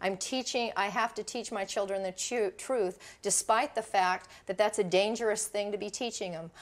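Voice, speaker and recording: Recorded very cleanly against a silent background, a woman with a plain, everyday voice talks at a moderate pace with fairly even intonation. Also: medium pitch for a woman. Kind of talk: documentary interview. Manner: argumentative.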